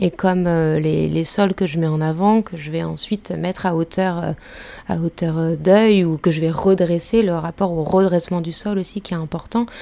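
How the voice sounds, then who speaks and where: Speaking at a moderate pace, a woman uses a fairly low pitch with fairly even intonation. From France, Ain near Lyon. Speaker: visual artist. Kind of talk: interview. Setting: artist's studio. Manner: hesitant, many fillers.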